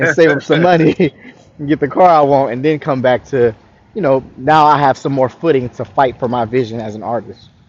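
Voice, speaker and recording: Here a man speaks with a fairly high pitch. His pace is very fast. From Florida, US South. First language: French. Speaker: R&B singer-songwriter. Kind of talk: interview. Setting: live online interview.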